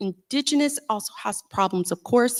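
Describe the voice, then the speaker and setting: With a Southern US accent, a woman speaks in a dry, close sound with no echo on a very clean recording with a silent background. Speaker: panelist, activist. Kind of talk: panel talk. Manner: loud; hesitant, many fillers.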